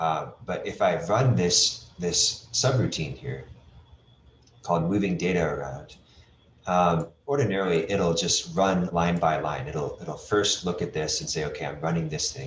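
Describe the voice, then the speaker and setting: A man speaks with a very deep, low pitch, lively intonation and vocal fry. There is audible room echo. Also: fairly slow pace. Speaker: webinar instructor. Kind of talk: tutorial.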